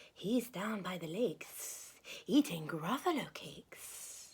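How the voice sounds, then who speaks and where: Someone performs in a put-on character voice. The delivery comes at a fairly slow pace. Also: woman, medium pitch for a woman. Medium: read story.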